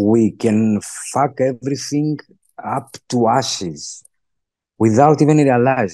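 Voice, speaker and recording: Over a quiet background with dry sound and no echo, a man with a Greek accent speaks fairly slowly in a medium pitch with a dark, mellow tone, ordinary pitch variation and long, frequent pauses. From Greece. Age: 50s. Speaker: podcast guest. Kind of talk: interview. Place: home room. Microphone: video call.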